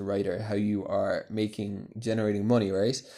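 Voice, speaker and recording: Talking at a fairly quick pace, a man with a Cork accent has a fairly low pitch and a dark, mellow tone. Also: very clean recording, silent background. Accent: Irish (Cork). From Ireland, Cork. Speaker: business ghostwriter. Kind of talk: solo podcast monologue. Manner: casual, hesitant with many fillers.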